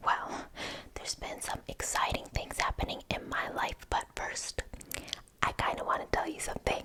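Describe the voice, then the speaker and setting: Someone whispers at a moderate pace. Background noise is noticeable. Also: woman. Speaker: ASMR creator. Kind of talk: ASMR gossip role play. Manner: whispered.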